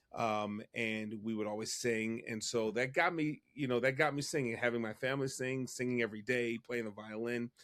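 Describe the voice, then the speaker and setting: With an American accent and an unremarkable speaking voice, a man talks at medium pitch and a moderate pace, his intonation fairly even and hardly any pauses, on a very clean recording with a silent background. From US Northeast, Philadelphia. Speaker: music professor and choir director. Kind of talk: interview conversation.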